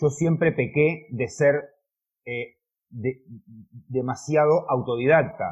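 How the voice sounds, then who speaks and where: A somewhat breathy man at a fairly high pitch and a fairly slow pace. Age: 40s. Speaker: car detailer and YouTuber. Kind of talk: interview. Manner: halting.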